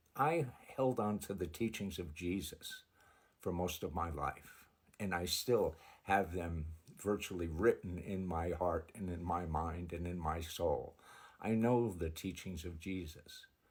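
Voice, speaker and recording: A man's very deep, low, somewhat breathy voice with an American accent, at a fairly slow pace with ordinary pitch variation. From United States. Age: 70s. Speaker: religious video creator, convert to Islam. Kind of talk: personal testimony monologue. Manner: halting, repetitive.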